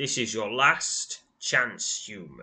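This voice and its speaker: A man's growling put-on character voice at medium pitch. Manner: snarling, threatening.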